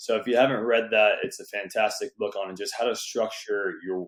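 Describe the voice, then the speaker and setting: A man speaks at a moderate pace with an American accent. The recording is very clean, with a silent background. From Southern California. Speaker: real estate investor and entrepreneur. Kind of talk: podcast interview.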